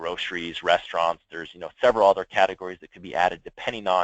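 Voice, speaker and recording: A man talks at a very fast pace with a very deep, low pitch. His intonation is fairly even, and the sound is dry and close with no echo. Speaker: software product presenter. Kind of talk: product demo on a conference call.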